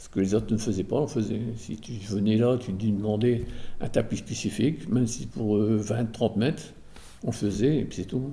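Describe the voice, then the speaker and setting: A man's fairly low, dark and mellow voice with vocal fry, big swings in loudness, a moderate pace and ordinary pitch variation. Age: 60s. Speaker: retired textile weaver. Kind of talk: testimony. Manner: hesitant, many fillers and repetitions.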